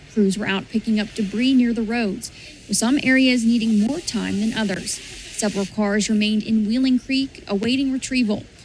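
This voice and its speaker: Over noticeable background noise, a woman talks at a fairly quick pace in a fairly high voice with fairly even intonation. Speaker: TV news reporter and anchor. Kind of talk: TV news package narration.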